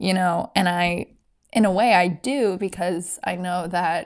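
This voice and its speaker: Fairly even intonation runs through the speech. It is an ordinary speaking voice. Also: woman, very clean recording, silent background. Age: 20s. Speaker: podcast host. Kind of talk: personal testimony.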